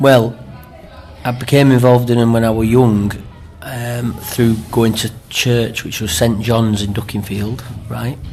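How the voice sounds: In a room with audible echo, a man talks at a fairly slow pace in a medium-pitched, slightly mellow voice with little pitch movement.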